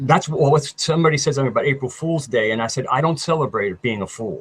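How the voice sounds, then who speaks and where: Somewhat breathy, fairly high-pitched speech from a man. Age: 60s. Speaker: YouTube researcher, alternative history. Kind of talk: casual chat interview.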